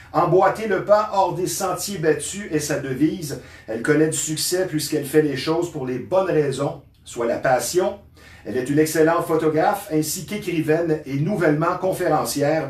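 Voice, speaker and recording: A man talks with a fairly high pitch and ordinary pitch variation. Room echo can be heard in the recording. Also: moderate pace. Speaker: talk show host. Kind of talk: scripted introduction; interview. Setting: studio.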